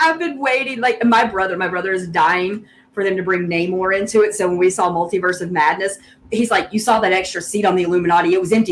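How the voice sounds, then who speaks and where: A woman speaks with a Southern US accent at a medium pitch. Noticeable background noise runs under her voice. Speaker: guest geek fan. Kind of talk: casual chat.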